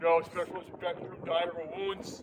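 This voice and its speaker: Noticeable background noise surrounds speech delivered at a very fast pace. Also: man. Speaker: war veteran. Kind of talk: rally speech. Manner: loud. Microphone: no microphone.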